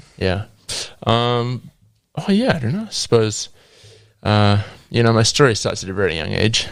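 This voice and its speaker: A man with a New Zealand accent speaks at a moderate pace and a medium pitch, with ordinary pitch variation and long, frequent pauses, in a very clean recording with a silent background. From New Zealand, South Auckland. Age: 20s. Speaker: guest sharing testimony. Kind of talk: testimony; casual chat.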